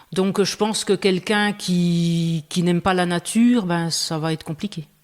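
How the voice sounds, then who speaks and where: A woman speaks with a Franche-Comté accent in a fairly low pitch. Her pace is fairly slow and her intonation fairly even. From Franche-Comté, France (Belfort). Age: 50s. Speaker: farmer. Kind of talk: interview. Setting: room under renovation.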